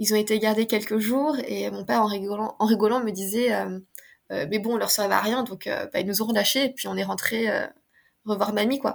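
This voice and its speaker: A woman with a fairly high pitch and vocal fry. Her intonation is fairly even, broken by long, frequent pauses. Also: moderate pace. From France. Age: 30s. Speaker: osteopath. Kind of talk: casual chat.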